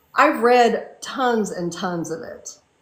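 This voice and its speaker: Amid audible room echo, a woman speaks very slowly in a high pitch with lively intonation. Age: 60s. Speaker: fantasy and romance author. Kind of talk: casual interview chat.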